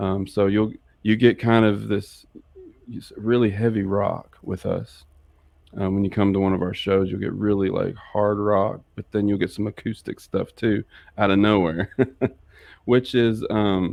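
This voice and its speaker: The speech comes slowly, at a fairly slow pace, with an American accent. The intonation stays flat and monotone. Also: man, fairly low pitch for a man. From New York and Mississippi, US. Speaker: rock band musician and songwriter. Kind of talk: interview, casual chat. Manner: halting, many fillers and restarts.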